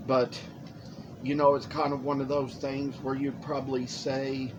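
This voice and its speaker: Amid noticeable background noise and audible room echo, a man talks at a fairly slow pace. His fairly high voice stays monotone and flat. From Lexington, Kentucky. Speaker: woodcarver. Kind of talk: casual chat. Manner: stretched vowels.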